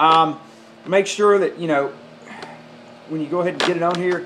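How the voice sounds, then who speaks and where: With a Southern US accent, a man with a fairly high pitch speaks at a moderate pace and with fairly even intonation, over noticeable background noise and audible room echo. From US South. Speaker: golf club repair tutorial maker. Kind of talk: tutorial. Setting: home workshop or garage. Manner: casual, many fillers.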